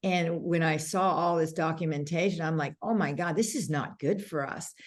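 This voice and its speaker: A woman with a Canadian accent has an ordinary speaking voice. Her pitch is fairly low and her intonation fairly even. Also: moderate pace. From Canada. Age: 60s. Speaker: makeup artist and beauty brand founder. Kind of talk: interview conversation.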